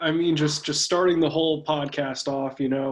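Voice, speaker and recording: This man talks very quickly. His intonation is fairly even. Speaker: talk show co-host. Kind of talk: casual chat. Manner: fast.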